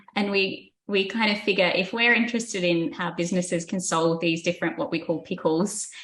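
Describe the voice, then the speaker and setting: Speaking in an Australian accent, a woman keeps a moderate pace and medium pitch with ordinary pitch variation. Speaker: business researcher. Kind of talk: podcast interview.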